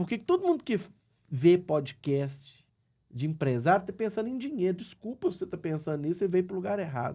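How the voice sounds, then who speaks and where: With a Minas Gerais accent, the speaker talks at a fairly quick pace with lively intonation and a dark, mellow tone, on a very clean recording with a silent background. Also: man, high pitch for a man. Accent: Brazilian Portuguese, mineiro. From Minas Gerais, Brazil. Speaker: businessman. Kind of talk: podcast interview.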